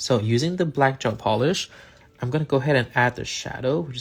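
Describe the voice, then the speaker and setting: A man's medium-pitched voice with vocal fry at a moderate pace. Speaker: nail artist and content creator. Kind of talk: live painting tutorial. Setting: livestream. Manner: casual, hesitant with many fillers.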